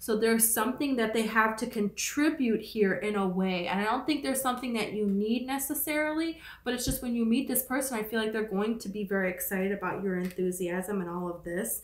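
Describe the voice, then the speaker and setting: This woman has an unremarkable speaking voice, fairly high in pitch, moving at a fairly quick pace with ordinary pitch variation. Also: hardly any pauses. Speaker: tarot reader. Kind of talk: tarot reading. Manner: casual, filler-heavy.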